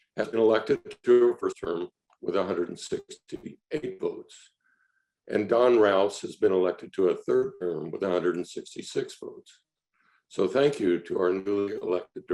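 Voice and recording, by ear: Putting on a hoarse character voice, a man speaks at a moderate pace in a dry, close recording with no echo.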